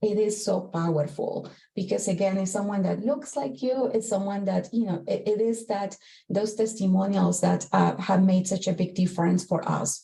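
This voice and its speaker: A woman's somewhat breathy voice in a Spanish accent, dark and mellow in tone, with ordinary pitch variation and very even loudness. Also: medium pitch for a woman, moderate pace. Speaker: corporate executive, panelist. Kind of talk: panel discussion.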